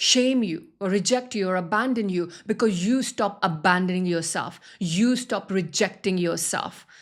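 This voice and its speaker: Ordinary pitch variation and a fairly slow pace from a woman, captured on a very clean recording with a silent background. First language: not English. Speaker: spiritual wealth coach. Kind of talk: motivational talk.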